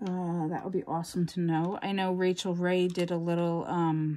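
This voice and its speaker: In a very clean recording with a silent background, a woman speaks with a fairly low pitch. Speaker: crafting YouTuber. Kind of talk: casual chat. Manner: animated.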